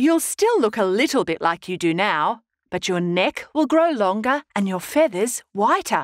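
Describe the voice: Over a quiet background, the text is given a plain reading aloud.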